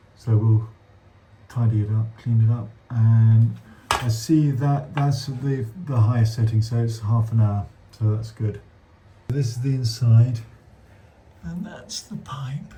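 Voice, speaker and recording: With a British accent, a man at medium pitch speaks at a fairly slow pace in a somewhat breathy, dark, mellow tone, with ordinary pitch variation and long, frequent pauses. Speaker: damp surveyor. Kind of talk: on-site survey walkthrough with client.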